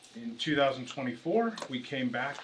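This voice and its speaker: Moderately paced, a man's voice carries audible room echo and noticeable background noise. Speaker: real estate developer representative. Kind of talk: presentation to town council. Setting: council meeting. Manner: halting, many fillers and restarts.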